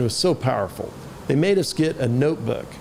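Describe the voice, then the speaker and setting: A man speaks at a very fast pace with very wide pitch swings. Noticeable background noise runs beneath him. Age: 50s. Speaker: sales trainer and author. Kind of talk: podcast interview. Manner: casual, with many fillers and repetitions.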